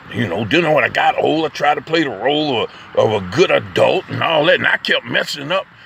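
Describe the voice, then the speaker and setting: A man talks at a fairly quick pace in an animated tone over noticeable background noise. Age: 60s. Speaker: poet and vlogger. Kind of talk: casual spoken monologue. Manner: animated, halting with repetitions.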